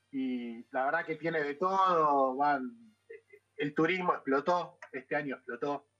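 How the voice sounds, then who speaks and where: A plain, everyday voice from a man, fairly slow in pace, with ordinary pitch variation. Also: fairly high pitch for a man. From Argentina, Buenos Aires (Banfield). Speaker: chef. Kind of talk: casual chat.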